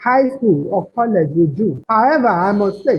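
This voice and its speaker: A woman's somewhat breathy, fairly high voice in a Nigerian accent, at a moderate pace with very wide pitch swings. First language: Nigerian language other than English. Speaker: proofreader and editor. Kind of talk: webinar presentation. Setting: online webinar.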